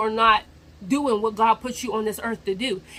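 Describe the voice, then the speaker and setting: Over noticeable background noise, a woman speaks at a fairly quick pace in a fairly high pitch. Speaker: vlogger. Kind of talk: motivational talk to camera. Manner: rambling, repetitive phrasing.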